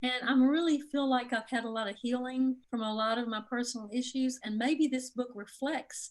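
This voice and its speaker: With a Mississippi accent, a woman speaks at a moderate pace in a high pitch. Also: hardly any pauses. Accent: Southern US (Mississippi). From Mississippi, US South. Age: 60s. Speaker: author. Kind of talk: interview.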